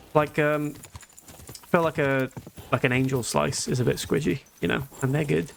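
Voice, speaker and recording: In a British accent, a man with medium pitch speaks at a moderate pace with ordinary pitch variation. Long, frequent pauses break his speech, and noticeable background noise is present. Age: 20s. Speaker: video game streamer. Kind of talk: live gameplay commentary, casual chat with viewers. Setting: live stream.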